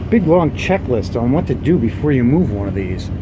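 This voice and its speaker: Noticeable background noise sits behind a man speaking at a fairly quick pace. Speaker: vlogger. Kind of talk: casual vlog chat. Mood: upbeat, joking. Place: car. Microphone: phone near.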